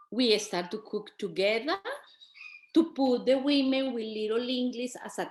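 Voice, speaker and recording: A woman with a strong Colombian accent speaks at a fairly slow pace. Her pitch is fairly high, with ordinary variation. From Colombia, Bogota. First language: Spanish. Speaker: migrant women's community organizer and businesswoman. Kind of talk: panel talk. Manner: halting, with restarts.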